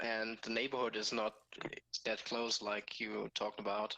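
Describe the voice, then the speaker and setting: A man with a German accent, vocal fry and a bright, sharp tone at a fairly slow pace. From Germany. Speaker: stream participant. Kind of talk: casual chat. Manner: halting.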